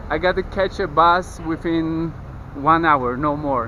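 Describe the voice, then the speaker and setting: A man with a Polish accent speaks in a fairly high pitch, his pitch varying in an ordinary way. Noticeable background noise runs under his voice. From Poland, Kraków. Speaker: travel vlogger. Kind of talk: travel vlog.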